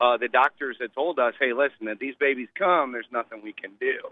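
This man has a plain, everyday voice at a medium pitch, and his intonation stays fairly even. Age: 40s. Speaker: caller, new father. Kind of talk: casual chat. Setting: phone call.

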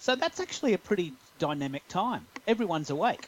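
Lively intonation from a man in an Australian accent. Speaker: podcast guest, social media expert. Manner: conversational, explanatory.

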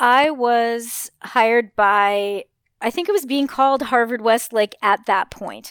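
A woman with an American accent at a very slow pace, fairly high in pitch with ordinary pitch variation, in a dry, close sound with no echo and a very clean recording against a silent background. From Los Angeles. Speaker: high school English teacher. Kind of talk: interview.

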